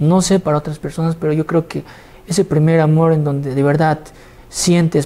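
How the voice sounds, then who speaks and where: Dark, mellow tone from a man. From Bolivia. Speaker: singer and songwriter; interview guest. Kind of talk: interview. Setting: studio. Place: studio. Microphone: lapel.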